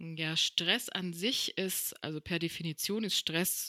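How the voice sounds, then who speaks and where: In a very clean recording with a silent background and a dry, close sound with no echo, a woman with a fairly low pitch and a bright, sharp tone speaks at a very slow pace with fairly even intonation. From Paraguay. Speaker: yoga and meditation teacher, coach. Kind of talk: podcast interview.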